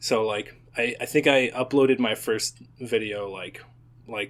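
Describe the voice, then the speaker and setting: A man speaks at a fairly slow pace in an ordinary speaking voice, with medium pitch and ordinary pitch variation. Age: 20s. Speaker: YouTube animator and content creator. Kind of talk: casual chat.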